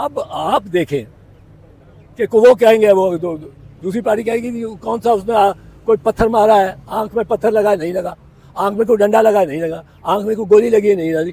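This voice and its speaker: The man's voice is high-pitched, with a dark, mellow tone. He speaks at a moderate pace with ordinary pitch variation. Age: 80s+. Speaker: senior lawyer. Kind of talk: legal commentary to reporters. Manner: halting, slurred speech.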